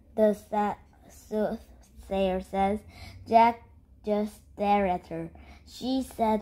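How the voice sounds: A natural reading voice carries the clip. Its intonation is fairly even.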